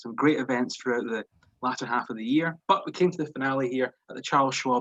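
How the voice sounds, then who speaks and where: With a Scottish accent, a man speaks at a fairly quick pace using fairly even intonation. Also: big swings in loudness, dry, close sound with no echo. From Scotland. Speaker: golf analyst. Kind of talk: analysis chat.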